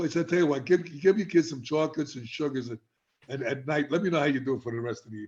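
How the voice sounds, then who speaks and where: Lively intonation and a fairly high pitch mark this man's voice. He talks at a very fast pace, with big swings in loudness. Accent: New York. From New York City (South Bronx). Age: 70s. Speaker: addiction treatment specialist. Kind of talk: interview. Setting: podcast.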